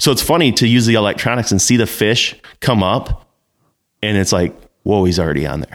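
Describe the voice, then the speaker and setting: At a fairly quick pace broken by long, frequent pauses, a man with an American accent speaks with a fairly low pitch, vocal fry and lively intonation. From Northern Michigan. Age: young. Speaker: fishing guide. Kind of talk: casual chat. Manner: animated.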